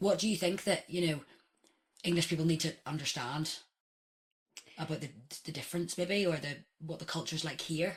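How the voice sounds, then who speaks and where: A woman with a Northern Irish accent speaks at a fairly quick pace but leaves long, frequent pauses. Her voice is fairly low in pitch and somewhat breathy, and her intonation is fairly even. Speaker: podcast host. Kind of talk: interview.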